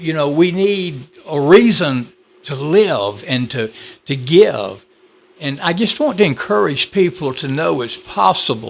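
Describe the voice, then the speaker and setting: This man has a Georgia accent and speaks at a very slow pace. His pitch swings very widely. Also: fairly high pitch for a man. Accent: Georgia twang. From Southwest Georgia, US. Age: 70s. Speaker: author. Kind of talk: interview testimony.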